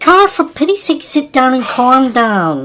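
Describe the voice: In a put-on character voice, a woman speaks high-pitched at a fairly slow pace, with big pitch swings and a fairly bright tone.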